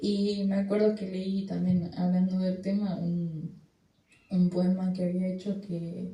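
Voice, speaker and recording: Against audible room echo, a woman talks very slowly at a medium pitch in a monotone, flat intonation. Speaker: slam poet. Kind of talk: interview.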